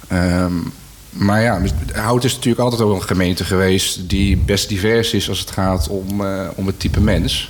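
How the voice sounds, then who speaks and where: A man with a fairly low pitch talks with fairly even intonation while noticeable background noise plays. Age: young. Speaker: local politician. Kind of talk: radio discussion. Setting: live radio in a cultural centre.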